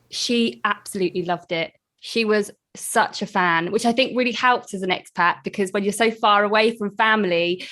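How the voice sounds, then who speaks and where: A woman with a British accent speaks at a moderate pace, her medium pitch showing ordinary variation. Her tone is bright and sharp, on a very clean recording with a silent background. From UK. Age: young. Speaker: podcast host. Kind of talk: interview.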